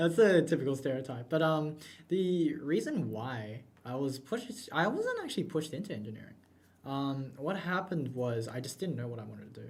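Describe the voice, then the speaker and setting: A man talks fairly quickly at a fairly high pitch, his intonation lively. Room echo is audible. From Australia. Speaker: student club co-host. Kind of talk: casual chat. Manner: halting.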